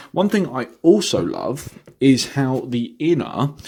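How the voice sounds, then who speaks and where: With lively intonation, a man speaks in an English accent on a very clean recording with a silent background. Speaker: vinyl record reviewer. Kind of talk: product review vlog. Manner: halting, many fillers.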